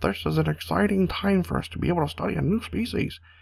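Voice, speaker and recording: Putting on a character voice, a man talks very fast at a medium pitch. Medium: solo performance. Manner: eager, academic.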